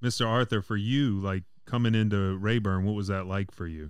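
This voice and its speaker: In a very clean recording with a silent background, a normal speaking voice moves at a moderate pace with fairly even intonation. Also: man. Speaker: podcast co-host. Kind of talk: casual interview.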